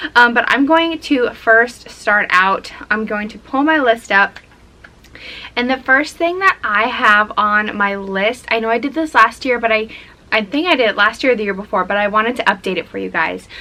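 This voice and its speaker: Over noticeable background noise, the speech keeps a moderate pace and lively intonation. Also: woman, fairly high pitch for a woman. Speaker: lifestyle vlogger. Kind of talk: casual vlog talk to camera.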